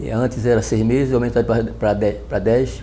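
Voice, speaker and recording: The man's fairly quick speech is heard with noticeable background noise. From Northeast Brazil, Recife, Pernambuco. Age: 70s. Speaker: retired navy petty officer. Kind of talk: oral history interview. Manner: halting, many fillers and restarts.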